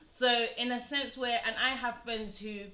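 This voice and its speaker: A woman's voice with audible room echo. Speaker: show host. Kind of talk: casual discussion. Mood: earnest, thoughtful. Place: home room.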